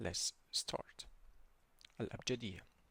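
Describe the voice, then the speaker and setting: In an Iraqi accent, a man speaks with a bright, sharp tone and a dry, close sound with no echo. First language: Arabic. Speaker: language teacher. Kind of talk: tutorial. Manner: slow, repetitive drilling; halting.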